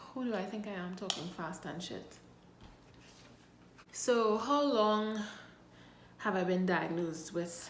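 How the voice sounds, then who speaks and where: The speech has ordinary pitch variation with long, frequent pauses. Audible room echo and noticeable background noise fill the recording. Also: woman. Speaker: health vlogger. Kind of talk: casual vlog.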